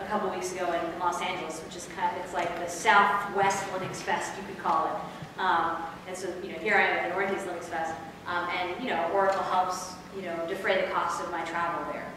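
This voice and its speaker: Against noticeable background noise and strong room echo, a woman talks at a fairly quick pace in a monotone, flat intonation. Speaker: conference presenter. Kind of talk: lecture. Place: hall. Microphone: camera far.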